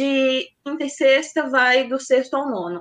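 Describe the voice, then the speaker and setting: The speaker is a woman. Her pitch is high. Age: 20s. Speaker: math teacher. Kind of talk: casual interview.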